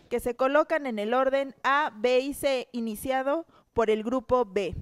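A woman speaks at a high pitch and a fairly slow pace, with ordinary pitch variation. The recording is very clean and dry, close with no echo, over a silent background. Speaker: co-host, wrestler. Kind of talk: reality show hosting, explaining rules.

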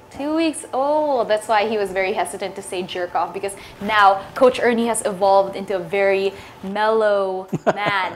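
A woman speaks at a moderate speed as noticeable noise carries on behind her. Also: medium pitch for a woman, ordinary pitch variation. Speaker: sports talk show host. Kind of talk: casual interview. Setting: studio. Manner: casual, chatty.

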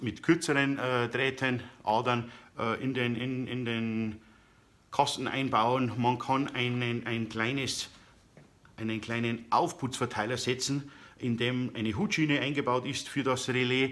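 Fairly even intonation runs through a man's speech. He talks at a fairly slow pace. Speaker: DIY woodworking YouTuber. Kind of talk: tutorial. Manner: hesitant, many filler sounds. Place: workshop. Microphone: phone near.

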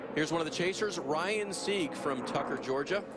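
A man's voice with ordinary pitch variation, set against noticeable background noise. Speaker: race commentator. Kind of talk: live race commentary, calling on-track action. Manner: quick, urgent play-by-play, clipped sentences.

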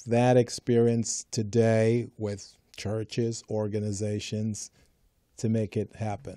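Against a quiet background, a man speaks at a very slow pace in a dark, mellow tone, the sound dry with no echo. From Jamaica. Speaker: small business consultant and show co-host; show co-host. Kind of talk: casual talk show chat. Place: studio. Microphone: studio mic.

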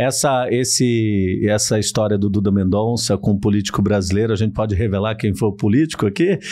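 A fairly quick male voice, fairly low in pitch, with a dark, mellow tone, very even loudness and hardly any pauses. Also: ordinary pitch variation. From São Paulo, Brazil. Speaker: podcast host. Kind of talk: casual interview chat. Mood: relaxed, amused. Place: studio. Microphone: studio mic.

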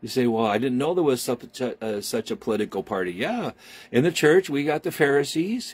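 Pitch swings very widely as a man speaks at a moderate pace. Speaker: preacher. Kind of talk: sermon. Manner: warm, animated preacher's delivery with call-and-response. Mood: warm, folksy, jokey. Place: home room. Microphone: phone near.

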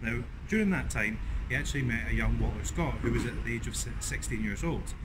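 A man speaking at a fairly quick pace amid noticeable background noise. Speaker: history vlogger. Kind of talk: casual history presenting to camera. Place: street.

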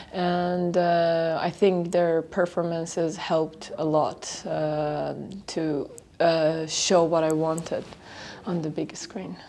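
With an Iranian accent, a woman at a fairly low pitch speaks at a very slow pace in a monotone, flat intonation over light background noise. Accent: Iranian (Persian) accent in English. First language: Persian. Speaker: film director. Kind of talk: festival interview statement. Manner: halting with frequent fillers. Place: hall.

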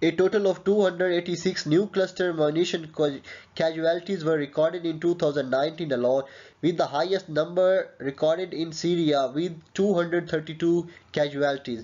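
A man talks at a fairly high pitch with a slightly mellow tone. He leaves few pauses. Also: fairly even intonation, moderate pace.

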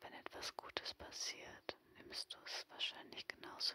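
Whispering at a fairly slow pace, the voice has a warm, soothing tone. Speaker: ASMR video creator. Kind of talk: ASMR personal attention, guided relaxation. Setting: headphones-oriented home recording, no camera. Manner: soft, slow, soothing, reassuring; intimate, warm, directly addressing the listener.

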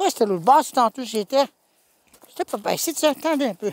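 A man with an extremely high pitch races at a very fast pace, with very wide pitch swings, big swings in loudness and long, frequent pauses, in a dry, close sound with no echo. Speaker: YouTuber scavenging a dump. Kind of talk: vlog narration.

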